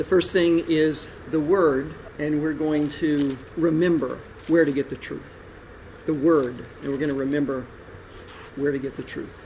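With an American accent, a man speaks at a fairly slow pace in a fairly high pitch, his intonation monotone and flat, with long, frequent pauses, noticeable background noise and audible room echo. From Texas. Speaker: pastor. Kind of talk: sermon.

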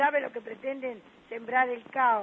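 A woman speaks at a fairly slow pace with fairly high pitch and fairly even intonation. Her voice carries a slightly husky edge.

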